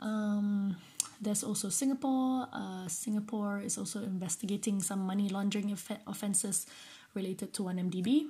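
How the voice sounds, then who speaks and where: A woman speaks at a moderate pace with fairly even intonation, her somewhat breathy voice dark and mellow in tone. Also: medium pitch for a woman. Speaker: podcast host. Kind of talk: solo commentary. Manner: halting.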